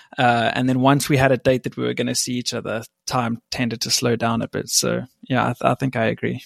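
Dry, close sound with no echo from a man at medium pitch, fairly quick, monotone and flat, with vocal fry. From South Africa. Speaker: host's boyfriend. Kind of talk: casual chat.

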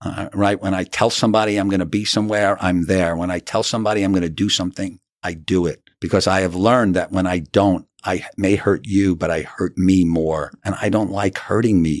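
A man with a New York accent talks at a fairly quick pace with hardly any pauses, his very deep, low voice keeping a fairly even intonation over a very clean recording and a silent background. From New York (Rockland County). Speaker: author. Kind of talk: interview.

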